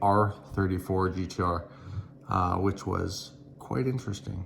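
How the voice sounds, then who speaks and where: A man's very deep, low voice comes out somewhat breathy, monotone and flat in intonation. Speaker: YouTuber, car vlogger. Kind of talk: casual vlog outro. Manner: mumbling, not hyped up; frequent ums.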